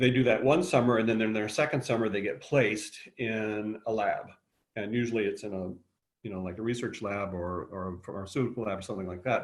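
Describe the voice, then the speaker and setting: Ordinary in pitch variation, a man speaks at a fairly quick pace. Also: fairly low pitch for a man. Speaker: high school biology teacher. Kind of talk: webinar presentation. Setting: video call. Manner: fast.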